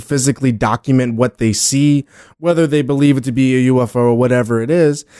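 The voice has a dark, mellow tone and moves at a fairly quick pace, recorded with a dry, close sound and no echo. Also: man. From New Orleans, Louisiana. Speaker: podcast host. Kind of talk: casual chat.

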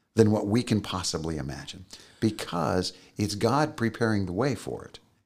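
On a very clean recording with a silent background, a man speaks in an American accent. His pitch is fairly low, his intonation lively, and his pace moderate. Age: 60s. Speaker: podcast co-host. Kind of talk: casual chat. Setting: studio.

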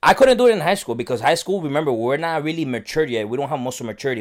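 A man with an American accent, very fast pace and lively intonation, on a very clean recording with a silent background. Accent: Miami Cuban American English. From Miami area, Cuban American family. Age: 20s. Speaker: bodybuilder. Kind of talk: casual chat.

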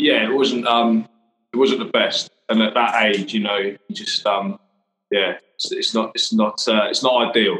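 Fairly slow delivery with an English accent. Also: man. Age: 30s. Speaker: interior fitter and business owner. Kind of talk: casual chat.

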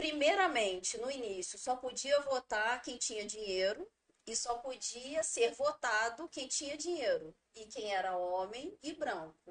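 Speaking at a fairly slow pace, a woman uses a high pitch with very wide pitch swings and big swings in loudness. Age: 30s. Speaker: teacher and local politician. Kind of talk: interview.

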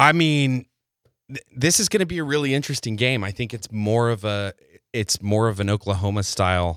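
A man with an American accent has an unremarkable speaking voice and keeps a moderate pace. The very clean recording has a silent background and a dry, close sound with no echo. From West Texas (Abilene). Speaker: college sports commentator. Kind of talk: casual chat.

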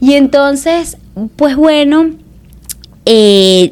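A woman is speaking. Her intonation is lively. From Venezuela, Barquisimeto (Lara state). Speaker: actress and social media creator. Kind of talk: casual interview chat.

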